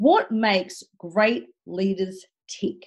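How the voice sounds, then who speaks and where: A somewhat breathy voice is heard against a quiet background. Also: woman. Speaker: podcast host. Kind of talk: podcast introduction. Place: home room. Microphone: video call.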